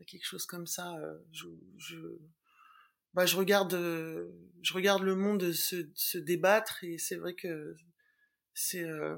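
A woman speaks at a very slow pace with long, frequent pauses. Her loudness swings widely. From Latin American family background. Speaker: TV news video editor. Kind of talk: interview.

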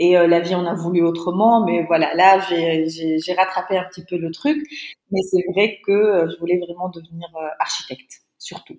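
A plain, everyday voice moves at a fairly slow pace with fairly even intonation. Its loudness swings widely. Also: woman, fairly low pitch for a woman. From Tunisia. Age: 30s. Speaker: entrepreneur. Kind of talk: interview.

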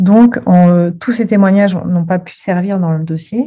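Somewhat breathy, a woman speaks with ordinary pitch variation. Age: 40s. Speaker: Pilates teacher and Reiki master. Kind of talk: testimony. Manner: gentle.

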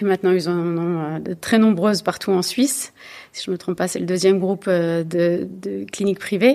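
Recorded very cleanly against a silent background, the voice has a dark, mellow tone and ordinary pitch variation at a moderate pace. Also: woman. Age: 40s. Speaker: bank co-founder and executive. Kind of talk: interview. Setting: in person at her company's offices.

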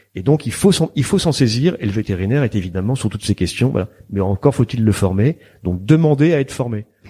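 A man's somewhat breathy medium-pitched voice with a dark, mellow tone, lively intonation and a fairly quick pace, in a dry, close sound with no echo. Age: 50s. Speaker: veterinarian and member of parliament. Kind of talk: interview. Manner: halting.

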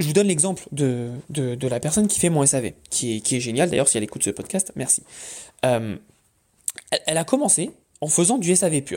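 This man has a dark, mellow tone and a fairly high pitch. He talks at a fairly quick pace with lively intonation. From France, Paris. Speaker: online business podcaster. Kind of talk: casual monologue.

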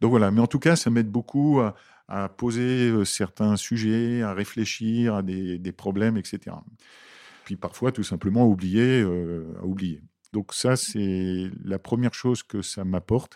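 Recorded very cleanly against a silent background, a man talks at a very slow pace with a fairly low pitch, ordinary pitch variation, a dark, mellow tone, and a dry, close sound with no echo. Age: 60s. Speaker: HR director. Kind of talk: interview. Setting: company office.

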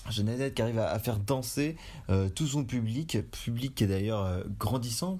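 His tone is dark and mellow. The man's pitch moves up and down in a typical way. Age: 20s. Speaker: podcast co-host. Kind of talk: casual chat. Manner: halting.

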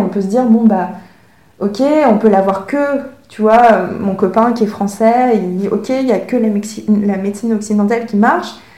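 A woman's fairly high voice in audible room echo. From France (Paris), from age 6. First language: Chinese (speaking French). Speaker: author and illustrator, former engineer. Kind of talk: interview conversation.

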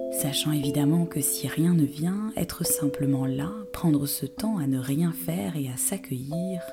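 Over background music, a woman with a calm, soothing tone and a very deep, low pitch speaks at a very slow pace, her pitch swinging very widely. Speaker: yoga teacher. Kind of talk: guided meditation. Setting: home recording with background music and instruments. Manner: slow, calm, soothing; soft-spoken, with long pauses.

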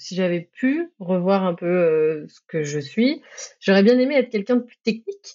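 A woman talks at a moderate pace with medium pitch. Her loudness swings widely, and her pitch swings very widely. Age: 30s. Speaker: technical program manager. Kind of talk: interview.

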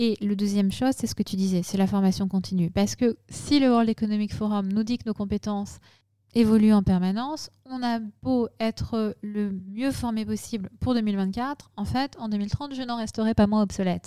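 A woman's dark, mellow tone at fairly high pitch, moderate in pace, fairly even in intonation, dry and close with no echo. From northern France (Picardy, Lorraine). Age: 40s. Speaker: tech company executive. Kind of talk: interview.

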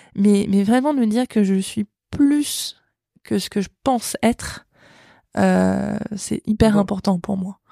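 Very slow pace with long, frequent pauses, a dark, mellow tone and a dry, close sound with no echo. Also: woman, medium pitch for a woman, ordinary pitch variation. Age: 30s. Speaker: cancer survivor and prevention project founder. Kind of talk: interview testimony. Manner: halting.

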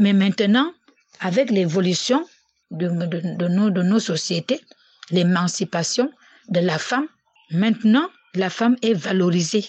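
Somewhat breathy, a woman at a medium pitch speaks at a very slow pace, with long, frequent pauses. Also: ordinary pitch variation. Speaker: student's mother. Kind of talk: interview. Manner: halting.

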